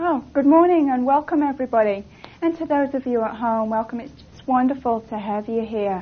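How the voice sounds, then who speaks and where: Talking at a fairly quick pace in an English accent, a woman with a high pitch uses ordinary pitch variation and big swings in loudness. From England. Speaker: seminar instructor. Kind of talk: seminar teaching.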